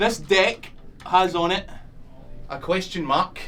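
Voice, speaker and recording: A man with a Scottish accent speaks in a high pitch with an animated tone. His pace is fairly slow, and room echo is audible. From Scotland. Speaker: magician. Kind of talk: stand-up magic performance. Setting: stage with live audience. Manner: animated, comedic.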